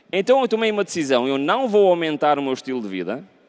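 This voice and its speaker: A man speaks with a European Portuguese accent at a fairly quick pace. His pitch swings very widely. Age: 40s. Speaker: pastor. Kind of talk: sermon. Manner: conversational, frequent 'ok?' tag questions.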